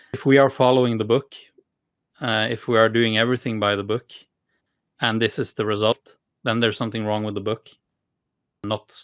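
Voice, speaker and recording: This man has a Norwegian accent and a medium pitch, talking at a fairly quick pace in a monotone, flat way. He takes long, frequent pauses. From Norway. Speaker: tech company co-founder and CTO. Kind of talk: podcast interview. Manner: halting, many fillers and repeated words.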